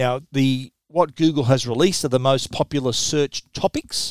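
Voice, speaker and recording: A man with an Australian accent at a moderate pace, medium-pitched, with ordinary pitch variation, a dry, close sound with no echo, and a very clean recording over a silent background. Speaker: tech journalist and podcast host. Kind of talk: solo tech podcast monologue.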